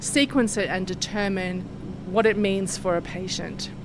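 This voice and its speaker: A woman with an Australian accent talks with ordinary pitch variation over noticeable background noise. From Australia, Sydney. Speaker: research scientist. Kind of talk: interview. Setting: laboratory.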